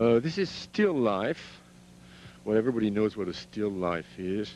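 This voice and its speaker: A man with a French accent, fairly low in pitch, at a moderate pace. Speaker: sculptor. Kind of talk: guided tour of own artworks. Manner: halting.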